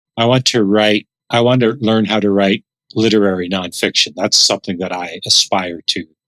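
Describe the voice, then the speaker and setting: A man with a Canadian accent speaks at a moderate pace, fairly low in pitch with fairly even intonation. The sound is dry and close, with no echo. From Canada, Dutch immigrant family. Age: 60s. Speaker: author and former pastor. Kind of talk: interview. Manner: reflective, halting with repetitions.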